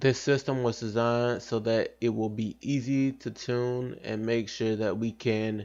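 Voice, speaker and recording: A man with a plain, everyday voice and a medium pitch speaks at a fairly slow pace with fairly even intonation against a quiet background. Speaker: gaming youtuber. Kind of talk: casual commentary.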